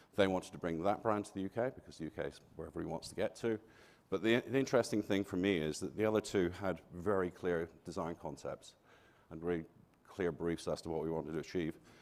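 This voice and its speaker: This man talks at a very fast pace in a very deep, low voice, with big swings in loudness and ordinary pitch variation. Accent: slight Glaswegian. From Scotland, Glasgow. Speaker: architect. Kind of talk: conference talk.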